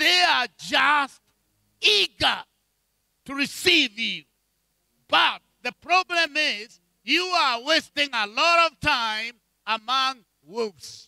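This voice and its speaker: Over a quiet background, with dry sound and no echo, a man uses a raised, projected voice at an extremely high pitch, his tone bright and sharp and his intonation lively, moving at a very slow pace with long, frequent pauses. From Kenya. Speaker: bishop and preacher; bishop, preacher. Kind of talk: sermon. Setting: church with congregation. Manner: animated. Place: church. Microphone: handheld.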